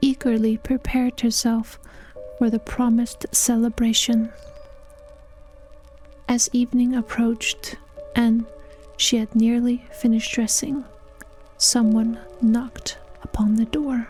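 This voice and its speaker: A soft-spoken woman with a high pitch and monotone, flat intonation, at a fairly slow pace with long, frequent pauses, music in the background. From Iceland. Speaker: storyteller. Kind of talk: read story.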